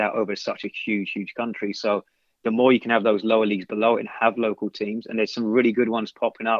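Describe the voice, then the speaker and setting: A man with an English accent speaks in a fairly low voice with monotone, flat intonation. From London, England. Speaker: soccer coach. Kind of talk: casual interview. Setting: podcast.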